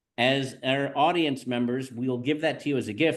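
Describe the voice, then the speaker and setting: A man with a plain, everyday voice, fairly high pitch and a moderate pace over a quiet background. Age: 60s. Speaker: real estate agent and podcast host. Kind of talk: podcast conversation.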